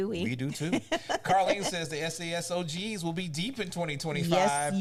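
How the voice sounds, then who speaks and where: A high-pitched male voice with ordinary pitch variation and noticeable background noise. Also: moderate pace. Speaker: show host reading out audience comments. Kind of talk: casual, colloquial.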